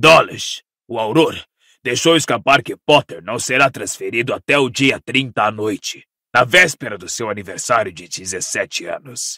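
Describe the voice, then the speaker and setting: A man's put-on character voice at medium pitch, on a very clean recording with a silent background. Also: moderate pace. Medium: read story. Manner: eager, insistent.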